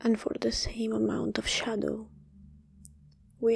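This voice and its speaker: A woman talks over noticeable background noise. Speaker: meditation guide. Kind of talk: guided meditation. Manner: whispered.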